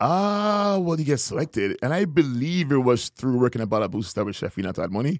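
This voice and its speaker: A man with a Trinidadian accent talks at a fairly quick pace and fairly high pitch, with very wide pitch swings and hardly any pauses. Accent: Trinidadian Caribbean. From Trinidad and Tobago. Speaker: chef. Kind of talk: casual interview chat.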